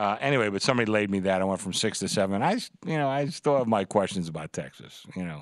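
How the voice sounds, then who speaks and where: Fairly low in pitch, a man talks at a very fast pace. His intonation is lively against a quiet background. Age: 60s. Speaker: sportsbook director. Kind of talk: casual sports talk. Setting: studio.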